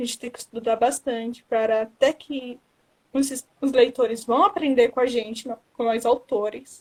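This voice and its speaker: Very slowly and with fairly even intonation, a woman talks in a high pitch. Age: 20s. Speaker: book blogger and writer. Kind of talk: live interview. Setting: social media live stream.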